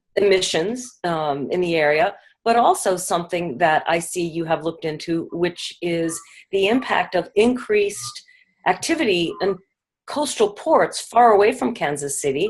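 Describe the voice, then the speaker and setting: A woman with an ordinary speaking voice and medium pitch speaks at a moderate pace, her intonation lively. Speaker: podcast co-host. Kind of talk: interview question.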